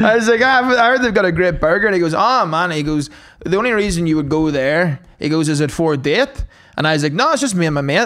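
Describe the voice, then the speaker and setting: The speech has a Northern Irish accent. It moves at a very fast pace with lively intonation. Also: man, high pitch for a man. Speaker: stand-up comedian. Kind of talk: casual podcast banter.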